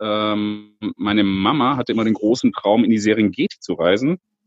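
A man's voice, fairly low in pitch. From Lake Constance, southern Germany. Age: 30s. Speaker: safari guide. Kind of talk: casual interview. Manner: hesitant with many fillers.

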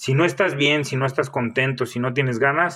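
A man talks in an unremarkable speaking voice at a medium pitch. His pace is fairly quick and his intonation fairly even. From Mexico, Michoacán. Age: 30s. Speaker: fitness coach and bodybuilder. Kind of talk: solo podcast monologue.

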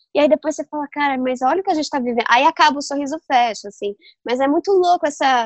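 Very fast and high-pitched, a woman talks with ordinary pitch variation. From Brazil, São Paulo. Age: young. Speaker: novelist. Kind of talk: interview. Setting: remote recording.

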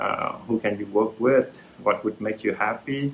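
This man talks at a fairly slow pace. His pitch variation is ordinary. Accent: Vietnamese. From central Vietnam (Hue). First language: Vietnamese. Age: 40s. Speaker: retired tech entrepreneur. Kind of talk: talk with Q&A. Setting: video call. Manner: hesitant, many fillers.

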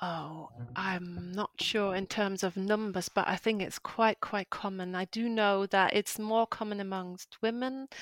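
A fairly slow delivery in a German accent, with fairly even intonation and hardly any pauses, on a very clean recording with a silent background. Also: woman, medium pitch for a woman, dry, close sound with no echo. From northern Germany. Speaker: freelance translator and coach. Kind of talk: interview, casual chat.

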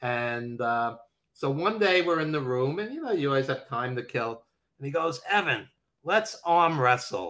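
With lively intonation and a bright, sharp tone, a man with a fairly high pitch speaks at a moderate pace. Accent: New York. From Brooklyn, New York. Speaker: wrestling documentary producer and editor. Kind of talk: casual interview chat, storytelling.

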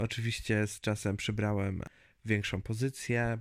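A man talks in a monotone, flat intonation at a fairly low pitch and moderate speed, the recording very clean with a silent background. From central Poland, Zgierz near Łódź. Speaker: podcast host. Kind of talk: solo monologue podcast. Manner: hesitant, repeats words.

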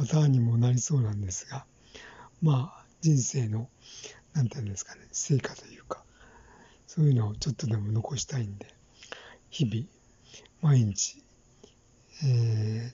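Long, frequent pauses at a moderate pace. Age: 60s. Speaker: podcaster. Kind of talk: solo monologue. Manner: halting, many fillers.

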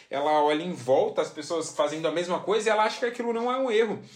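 Very fast, animated speech from a high-pitched man, lively in intonation, over noticeable background noise. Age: 20s. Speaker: podcast host. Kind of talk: casual monologue.

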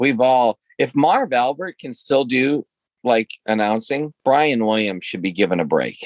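A man at medium pitch and moderate pace, in a dry, close sound with no echo. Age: 50s. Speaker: podcast co-host and speaker. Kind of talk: casual chat. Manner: halting.

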